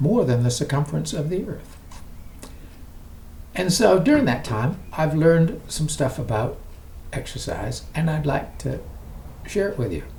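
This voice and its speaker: A man with a fairly high pitch and lively intonation speaks at a moderate pace with long, frequent pauses, and room echo is audible. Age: 80s+. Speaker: exercise vlogger. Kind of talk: casual vlog talk to camera. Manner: conversational, with hesitations.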